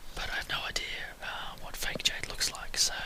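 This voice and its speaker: A whisper comes through while background noise is clearly noticeable. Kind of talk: casual whispered travel talk to camera. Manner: whispered.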